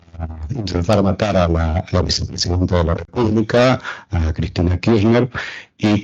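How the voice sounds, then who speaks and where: A man with a very deep, low pitch talks at a moderate pace. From Argentina. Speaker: political science professor. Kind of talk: panel talk. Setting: round table with audience. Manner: halting, many fillers.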